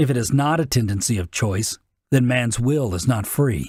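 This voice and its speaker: At a moderate pace and medium pitch, a man with an ordinary speaking voice uses lively intonation in a very clean recording with a silent background. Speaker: narrator in practice. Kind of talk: dramatic speech reading.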